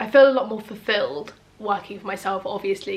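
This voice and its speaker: Noticeable background noise runs under this recording. A woman with an English accent and medium pitch talks at a fairly quick pace. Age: 20s. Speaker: freelance photographer. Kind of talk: casual talk to camera.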